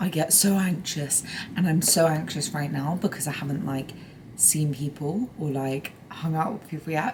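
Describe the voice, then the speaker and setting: Against noticeable background noise, a woman with a fairly low pitch speaks at a moderate pace with lively intonation. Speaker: lifestyle vlogger. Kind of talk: vlog. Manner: whispering.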